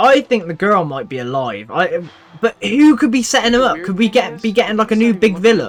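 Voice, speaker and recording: A man with a British accent speaks at a fairly quick pace in a high voice, his pitch swinging very widely over noticeable background noise. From Britain. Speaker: TV reaction YouTuber. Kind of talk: casual reaction commentary. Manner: animated.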